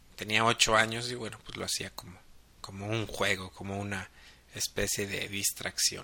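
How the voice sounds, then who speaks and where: A man with a fairly low pitch and a bright, sharp tone speaks in a monotone, flat intonation. His loudness swings widely at a moderate pace. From Mexico, Guadalajara, Jalisco. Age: 30s. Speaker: photographer and podcast host. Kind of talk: casual monologue podcast.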